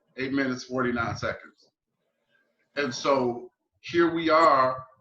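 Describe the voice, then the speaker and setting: Over background music, a man talks at a fairly slow pace at a medium pitch with fairly even intonation. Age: 40s. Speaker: podcast host. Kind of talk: interview conversation.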